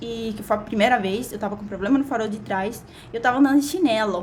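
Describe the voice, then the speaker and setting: In a Cuban accent, a woman speaks at a fairly quick pace and fairly high pitch with an animated tone. Her pitch variation is ordinary, and the room echo is audible. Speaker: vlogger. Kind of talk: casual vlog monologue. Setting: recording at a window.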